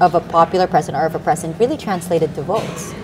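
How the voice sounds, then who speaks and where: There is noticeable background noise behind a woman whose pitch is fairly low. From Philippines. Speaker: news anchor. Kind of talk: live election-night news coverage. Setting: studio. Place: office.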